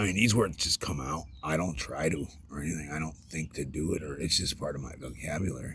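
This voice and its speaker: A man speaks fairly quickly with hardly any pauses, his very deep, low voice showing vocal fry and ordinary pitch variation. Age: 40s. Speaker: vlogger. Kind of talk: personal vlog monologue. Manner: loud; halting.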